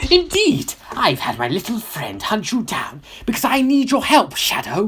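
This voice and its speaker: A put-on character voice, fairly high in pitch, comes at a moderate pace. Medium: read story.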